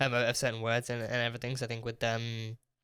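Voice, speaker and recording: A man with a British accent talks at a very fast pace in a medium pitch with a bright, sharp tone, recorded very cleanly over a silent background. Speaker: TV reaction youtuber. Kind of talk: casual review monologue. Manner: halting, many repetitions.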